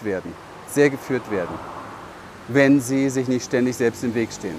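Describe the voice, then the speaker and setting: Noticeable background noise sits under the audio. A man talks at a moderate pace. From Berlin, Germany. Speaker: business coach. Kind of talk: vlog monologue. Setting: outdoors, walking through a city.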